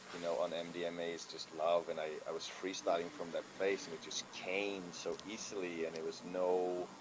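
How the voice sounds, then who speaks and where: Spoken with a non-native accent in monotone, flat intonation, the speech moves at a moderate pace with hardly any pauses over noticeable background noise. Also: man, very deep, low pitch for a man. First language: not English. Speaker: freestyle rapper. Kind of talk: casual chat. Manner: halting.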